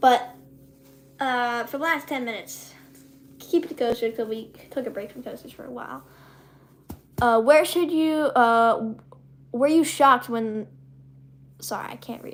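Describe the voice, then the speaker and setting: A woman's high-pitched voice at a fairly slow pace. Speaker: YouTuber hosting live stream. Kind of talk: live stream Q&A reading chat. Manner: halting, many fillers.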